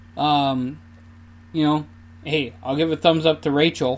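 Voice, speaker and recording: This man talks in a Minnesota accent. His intonation stays fairly even. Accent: Minnesota accent, noticeable. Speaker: podcaster, amateur runner. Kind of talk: casual solo podcast monologue. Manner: casual, with many fillers.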